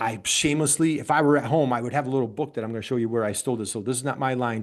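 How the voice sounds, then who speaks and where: Against a quiet background, the speaker uses an animated tone and ordinary pitch variation in an upstate New York accent. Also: man. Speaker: business coach. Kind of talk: webinar presentation.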